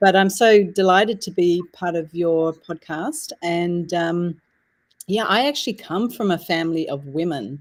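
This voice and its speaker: A woman with an Australian accent speaks at a fairly slow pace in a fairly low voice. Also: ordinary pitch variation. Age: 60s. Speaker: author and women's circle leader. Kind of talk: interview chat.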